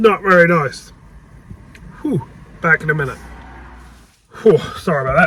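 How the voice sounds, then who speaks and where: Over noticeable background noise, a man talks very fast with long, frequent pauses and ordinary pitch variation. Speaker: car mechanic youtuber. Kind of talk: casual workshop vlog.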